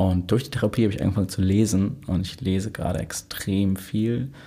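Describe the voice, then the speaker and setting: On a very clean recording with a silent background, a man speaks at a moderate pace in a dark, mellow tone that is somewhat breathy. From Hamburg (Lurup, born in Altona). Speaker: DJ and electronic music producer. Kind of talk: casual interview chat. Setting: podcast studio.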